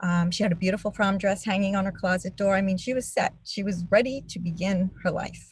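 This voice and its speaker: Somewhat breathy, a woman with a New York accent speaks at a moderate pace with ordinary pitch variation. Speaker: nurse and advocacy co-founder. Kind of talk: testimony. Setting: webinar video call.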